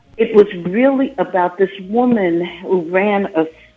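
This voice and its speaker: Music plays in the background. A woman with a medium-pitched voice speaks at a very slow pace. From New Jersey, Jersey Shore (US). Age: 60s. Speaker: life coach and author. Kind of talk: interview. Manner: animated.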